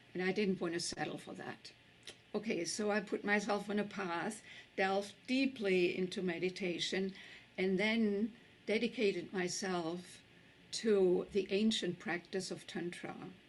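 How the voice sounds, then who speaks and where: A woman with a German accent speaks at a fairly slow pace and medium pitch, her intonation fairly even. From Germany. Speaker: tantra teacher and author. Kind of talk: summit talk.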